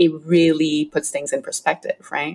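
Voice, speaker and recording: At a moderate pace, a woman speaks with a very deep, low pitch. Her intonation is monotone and flat. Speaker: podcast host. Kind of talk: interview.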